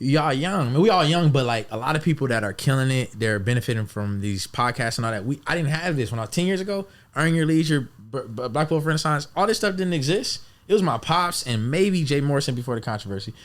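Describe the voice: Fast, lively speech from a man at medium pitch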